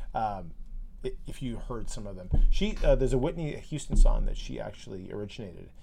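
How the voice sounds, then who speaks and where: The speech moves at a fairly quick pace with big swings in loudness. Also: man. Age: 40s. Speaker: podcast co-host. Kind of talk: casual chat.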